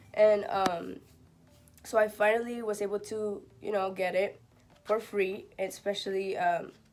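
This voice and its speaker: A woman talks at a fairly slow pace. Noticeable background noise runs beneath her. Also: medium pitch for a woman. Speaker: vlogger. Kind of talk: casual vlog. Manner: animated.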